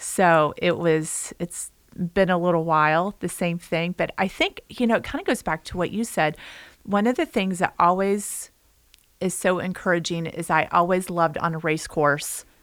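In a very clean recording with a silent background, a woman uses a normal speaking voice with fairly low pitch and fairly even intonation at a moderate pace. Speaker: podcast co-host, health coach. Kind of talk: casual interview.

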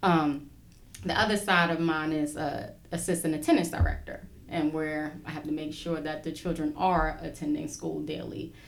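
With audible room echo, a woman with an American accent speaks at a moderate pace in a very deep, low pitch with fairly even intonation. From Brooklyn, New York. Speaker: school social worker. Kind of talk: casual interview.

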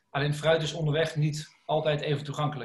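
With an ordinary speaking voice, a man talks at a fairly quick pace and a fairly high pitch. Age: 30s. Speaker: food company co-founder. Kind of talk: podcast interview.

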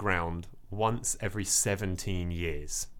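The intonation is lively. The tone comes across as animated. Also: man. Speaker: nature podcast host. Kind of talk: casual comedic chat. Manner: joking, animated.

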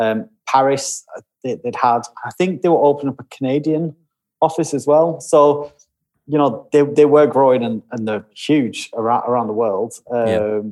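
Man with a Lancashire accent, fairly high in pitch, at a moderate pace with ordinary pitch variation. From Lancashire, northern England. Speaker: creative director. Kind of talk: casual chat.

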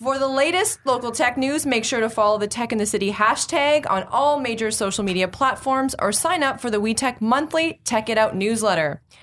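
Hardly pausing, a woman talks at a fairly quick pace with high pitch and lively intonation. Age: 30s. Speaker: tech podcast host. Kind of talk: casual interview chat. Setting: studio.

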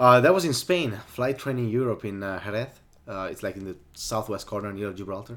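A man talks at a fairly quick pace with an Italian accent and big swings in loudness. The recording is very clean, with a silent background. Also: fairly low pitch for a man, ordinary pitch variation. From Italy (Sardinia). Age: young. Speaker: aerobatic pilot. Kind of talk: interview. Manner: energetic.

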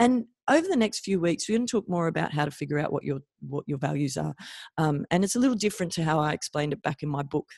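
Delivered at a very fast pace, the speech carries an Australian accent. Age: 40s. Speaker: chiropractor and podcast host. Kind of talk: solo podcast monologue.

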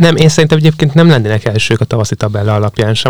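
Speaking at a medium pitch with ordinary pitch variation, a man comes through with a dry, close sound and no echo. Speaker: young sports reporter. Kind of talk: casual sports chat.

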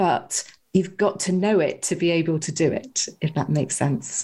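A woman with a British accent and a somewhat breathy, fairly low voice at a fairly slow pace, on a very clean recording with a silent background. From UK. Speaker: hypnotherapist and author. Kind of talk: interview.

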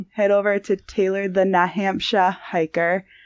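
This woman has a normal speaking voice at a medium pitch and an American accent, and she talks at a fairly slow pace. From Massachusetts. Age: 20s. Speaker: hiker and YouTuber. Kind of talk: casual chat.

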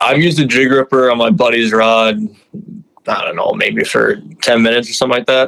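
A man with an American accent speaks at a fairly quick pace and medium pitch. His pitch varies in an ordinary way. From Minnesota. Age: 20s. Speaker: fishing guide. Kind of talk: casual interview.

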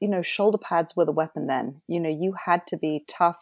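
A woman with a British accent and a fairly low pitch, at a moderate pace in a dry, close sound with no echo. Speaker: former oil trader and marketer. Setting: speaking from Cape Cod, remote call.

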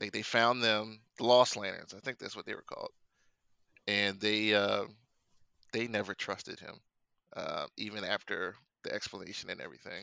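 Against a quiet background, a man talks at a moderate pace with long, frequent pauses. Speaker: podcast panelist. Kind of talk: casual chat.

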